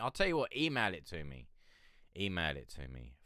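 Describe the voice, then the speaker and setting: With a bright, sharp tone and vocal fry, a man speaks at a moderate pace with lively intonation. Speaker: independent music reviewer / live streamer. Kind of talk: casual live-stream chat. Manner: hesitant, rambling.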